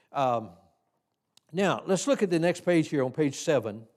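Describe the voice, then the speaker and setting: Fairly high in pitch, a man with a Tennessee accent speaks in a dark, mellow tone. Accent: Southern US (Tennessee). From US South, Tennessee hills. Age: 80s+. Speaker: Sunday school teacher trainer. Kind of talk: teaching seminar in church. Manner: halting, many fillers and repeats.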